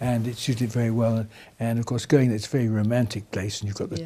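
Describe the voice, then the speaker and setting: Speaking very fast with an RP accent, a man uses a medium pitch. His intonation is fairly even. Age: 80s+. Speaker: retired racing driver. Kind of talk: interview answer. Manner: casual, chatty.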